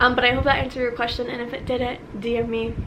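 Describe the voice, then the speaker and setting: Noticeable background noise and audible room echo surround a woman speaking at a high pitch with an American accent. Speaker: vlogger, college student. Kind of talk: casual Q&A vlog. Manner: fast; animated.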